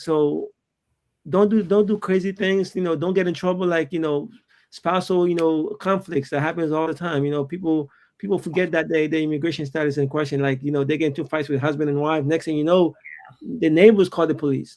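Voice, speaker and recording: A man talks at a fairly quick pace with a strong non-native accent. His voice sits fairly high in pitch. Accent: thick foreign. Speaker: immigration lawyer. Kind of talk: panel discussion. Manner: halting, many fillers.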